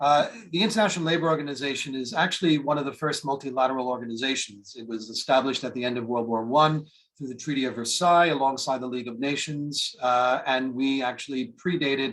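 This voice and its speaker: Very fast speech with ordinary pitch variation, in an American accent. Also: man. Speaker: international organization official. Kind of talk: webinar presentation.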